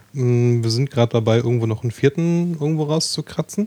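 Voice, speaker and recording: Heard with a dry, close sound and no echo, a man talks at medium pitch in a dark, mellow tone. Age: 30s. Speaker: podcast hosting project operator. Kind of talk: casual chat.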